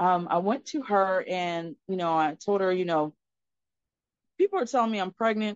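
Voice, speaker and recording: A woman talks at a moderate pace with a medium pitch and ordinary pitch variation. Her speech is broken by long, frequent pauses. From Florida, US. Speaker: life coach. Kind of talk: casual chat.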